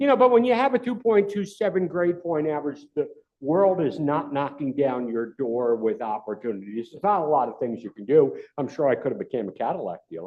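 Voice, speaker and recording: A fairly high-pitched man with a New York accent, talking fairly quickly, with very wide pitch swings and big swings in loudness. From New York City. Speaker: retired FBI agent, cyber security speaker. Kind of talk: club talk presentation. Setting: club meeting room with audience. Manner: animated.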